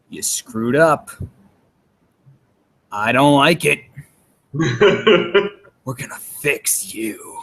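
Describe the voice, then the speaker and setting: Using a put-on character voice, a man speaks very slowly in a raspy, fairly high pitch with very wide pitch swings, big swings in loudness and long, frequent pauses. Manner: intense, getting up close, confrontational.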